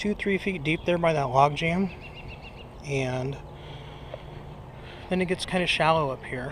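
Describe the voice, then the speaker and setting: A man speaks at a fairly slow pace, his pitch fairly high with ordinary variation. Noticeable background noise runs under him. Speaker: fishing video maker. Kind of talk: tutorial. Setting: outdoors by a creek. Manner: whispering.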